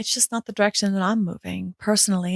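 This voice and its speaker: A woman's medium-pitched voice with a New York accent. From New York City. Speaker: podcast host, business coach. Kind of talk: podcast monologue. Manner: fast.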